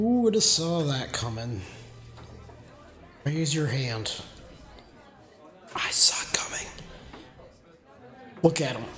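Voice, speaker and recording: Long, frequent pauses break up very slow speech. Background noise is noticeable. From not British. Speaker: gaming streamer. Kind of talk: let's play commentary. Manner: casual, chatty.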